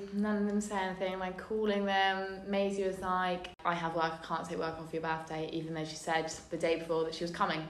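Over noticeable background noise and audible room echo, a woman talks at a fairly quick pace with hardly any pauses, her fairly low voice flat and monotone. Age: 18. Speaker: friend of host. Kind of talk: casual chat.

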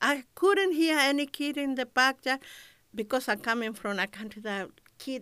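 A woman with a Spanish accent speaks in a high pitch with a bright, sharp tone and lively intonation, on a very clean recording with a silent background. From Chile. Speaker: community radio presenter. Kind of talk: interview.

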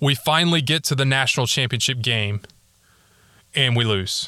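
A man with an American accent talks at a moderate pace with ordinary pitch variation. His tone is bright and sharp, and the sound is dry and close with no echo. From US South, North Texas. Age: 30s. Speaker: sports podcast host. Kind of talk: casual monologue. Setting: home closet recording.

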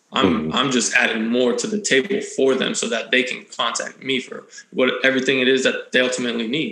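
Intonation is lively and the pace moderate. Noticeable background noise runs throughout. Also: man. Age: 30s. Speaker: luxury car broker and real estate agent. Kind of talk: casual interview.

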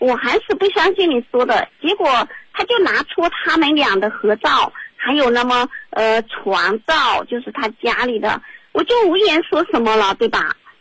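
With noticeable background noise, a woman speaks fairly slowly at a high pitch, her voice making very wide pitch swings. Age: 30s. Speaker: radio call-in caller. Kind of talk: advice call-in.

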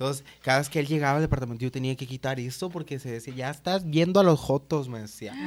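Fairly high in pitch, a man rattles along at a very fast pace with hardly any pauses and big swings in loudness. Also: ordinary pitch variation. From Sonora, Mexico (Hermosillo). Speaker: drag performer. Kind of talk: casual chat. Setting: at home.

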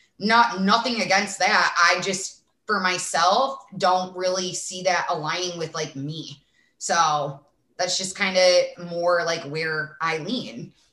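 Here a woman speaks at a medium pitch. Her pace is very slow. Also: ordinary pitch variation. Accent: strong Midwestern. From small town Illinois, US Midwest. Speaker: sports reporter and influencer. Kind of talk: casual interview chat.

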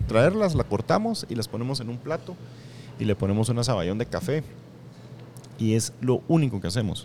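Speaking with a Guatemalan accent in a dark, mellow tone, the voice moves at a moderate pace with long, frequent pauses. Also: man. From Guatemala, Escuintla. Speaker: chef, restaurant owner. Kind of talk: interview. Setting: restaurant.

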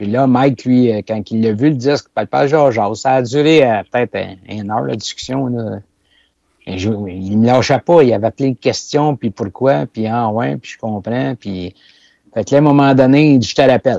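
A man with a Quebec accent talks at a moderate pace in a medium, dark and mellow voice with ordinary pitch variation, recorded dry and close with no echo against a quiet background. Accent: Québécois French. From Quebec, La Présentation near Saint-Hyacinthe. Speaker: farm machinery manufacturer. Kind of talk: casual interview.

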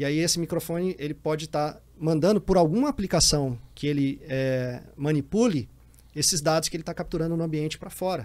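Spoken at a fairly quick pace in a Piauí accent, the voice shows ordinary pitch variation. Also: man, fairly high pitch for a man. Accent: Piauí Brazilian Portuguese. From Brazil, Piauí (Teresina). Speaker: cybersecurity executive, former intelligence officer. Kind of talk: casual interview chat.

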